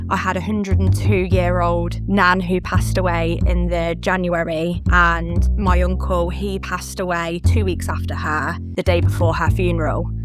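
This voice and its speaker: A woman's very deep, low voice in a British accent, with very wide pitch swings, a moderate pace, hardly any pauses and music in the background. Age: 30s. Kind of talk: interview answer.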